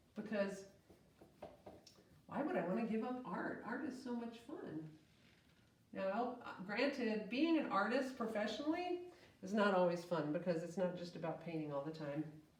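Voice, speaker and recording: A woman at medium pitch talks at a moderate pace with very wide pitch swings and long, frequent pauses, over noticeable background noise and audible room echo. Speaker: art teacher. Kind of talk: tutorial. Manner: casual, friendly.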